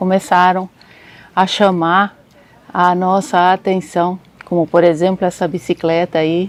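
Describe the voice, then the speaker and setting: A soft-spoken woman at medium pitch and a very slow pace, with fairly even intonation. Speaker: travel vlogger. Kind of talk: travel storytelling vlog.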